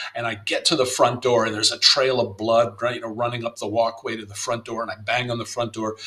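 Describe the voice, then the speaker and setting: Over noticeable background noise, a man with an American accent rattles along very fast at medium pitch with hardly any pauses, monotone and flat in intonation, with big swings in loudness. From US South, Miami, Florida. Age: 60s. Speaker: playwright and novelist. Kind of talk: interview conversation. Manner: halting, many fillers and repetitions.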